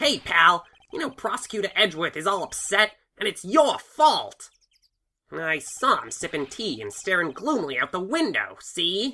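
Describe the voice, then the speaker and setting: A woman puts on a character voice at medium pitch, moderate pace, with very wide pitch swings and big swings in loudness. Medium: fan dub. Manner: gruff, folksy.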